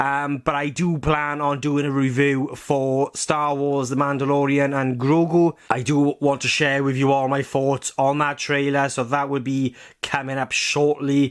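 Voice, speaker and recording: Speaking in a strong Welsh accent, a man uses a fairly high pitch and monotone, flat intonation. His pace is moderate. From Wales. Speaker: film and TV reviewer. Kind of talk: video review monologue. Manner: rambling, hesitant with fillers.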